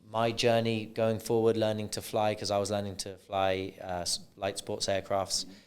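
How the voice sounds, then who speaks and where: The recording is very clean, with a silent background. A man talks at a moderate pace in a fairly low pitch, his intonation monotone and flat. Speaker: podcast host. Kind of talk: podcast interview questions.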